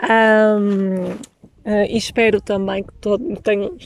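The recording is very clean with a silent background, capturing a woman in a European Portuguese accent at medium pitch. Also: dry, close sound with no echo. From Portugal. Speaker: podcast host. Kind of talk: interview. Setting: outdoors by a lake.

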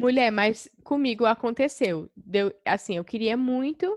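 A fairly high-pitched woman at a fairly slow pace, an ordinary speaking voice with ordinary pitch variation, the sound dry and close with no echo over a quiet background. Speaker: podcast co-host. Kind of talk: casual chat.

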